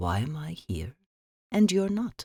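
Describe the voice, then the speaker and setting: A woman uses a put-on character voice. Her pitch is very deep and low. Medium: read story. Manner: purring, sardonic.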